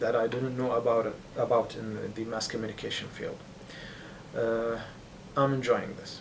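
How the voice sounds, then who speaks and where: A man speaks with a non-native accent, and there is audible room echo. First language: not English. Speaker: international mass communication student. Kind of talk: interview testimony.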